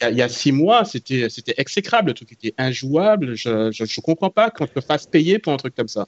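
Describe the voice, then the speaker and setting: Very wide pitch swings at a fairly quick pace, with hardly any pauses. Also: man, fairly high pitch for a man. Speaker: tech commentator. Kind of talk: casual chat.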